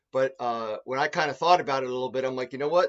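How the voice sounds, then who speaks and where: A man at a very fast pace, with ordinary pitch variation, against a quiet background. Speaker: energy auditor. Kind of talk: webinar presentation. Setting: video call. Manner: fast talker. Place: home room. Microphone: webcam.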